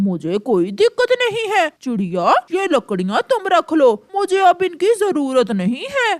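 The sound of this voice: Moving at a moderate pace with hardly any pauses, a cartoonish character voice climbs to extremely high pitch with very wide pitch swings.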